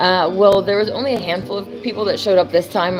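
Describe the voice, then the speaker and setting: Over music in the background, a woman with an American accent speaks with ordinary pitch variation. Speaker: live streamer. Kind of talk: casual chat. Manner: casual, with many fillers.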